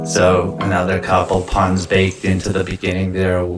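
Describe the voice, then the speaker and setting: Over noticeable background noise, a man with an American accent talks at a very slow pace in a very deep, low pitch. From Detroit.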